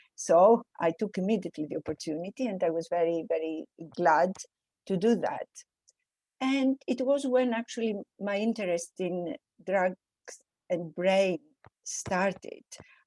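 A woman with a Greek accent and medium pitch talks at a fairly slow pace with lively intonation and long, frequent pauses. The sound is dry and close, with no echo. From Greece, small village. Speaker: professor. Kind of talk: interview.

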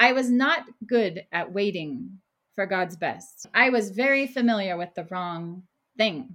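With an American accent, a woman at a medium pitch uses a bright, sharp tone and lively intonation. She reads at a fairly slow pace in a very clean recording with a silent background. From Oklahoma. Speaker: ministry worker. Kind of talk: testimony.

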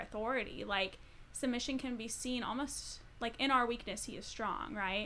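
A woman's plain, everyday voice, fairly high in pitch, with ordinary pitch variation. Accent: American. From Colorado. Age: 20s. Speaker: social work graduate student. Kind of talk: casual chat.

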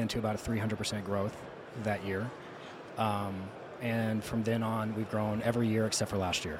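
At a moderate pace, a man talks in a monotone, flat intonation over noticeable background noise. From South Louisiana. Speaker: roofing contractor. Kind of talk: casual interview.

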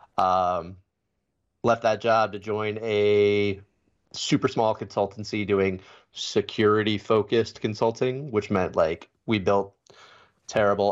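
Against a quiet background, a man with an ordinary speaking voice talks at a fairly slow pace, fairly low in pitch, with fairly even intonation. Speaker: security consultant. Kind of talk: casual chat. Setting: remote video call. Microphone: very good mic.

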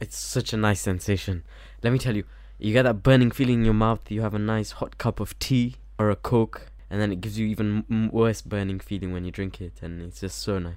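This man has an ordinary speaking voice, fairly low in pitch. He talks at a fairly quick pace with fairly even intonation. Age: 20s. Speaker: podcast co-host. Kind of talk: casual chat.

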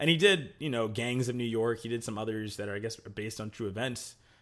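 Music plays in the background as a man talks at a fairly quick pace. His pitch is medium and his intonation fairly even. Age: 20s. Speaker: podcast host. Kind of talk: casual chat.

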